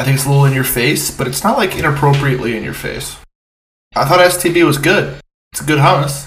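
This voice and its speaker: A man talks in a normal speaking voice, pitched fairly high for a man. He moves at a fairly quick pace with ordinary pitch variation. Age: 20s. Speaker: podcast co-host. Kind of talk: casual chat.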